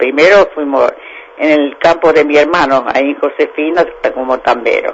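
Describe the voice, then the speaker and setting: A man at a fairly slow pace, with noticeable background noise behind him. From Santa Fe province, Argentina. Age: 90s. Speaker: elderly interviewee, former dairy farm worker. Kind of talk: casual interview.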